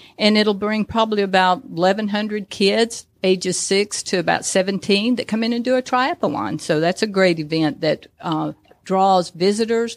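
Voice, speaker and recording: A woman with a plain, everyday voice talks at a medium pitch and moderate pace, with ordinary pitch variation and hardly any pauses, on a very clean recording with a silent background. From Georgia, US (Dalton). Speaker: tourism bureau executive. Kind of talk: radio interview. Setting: studio.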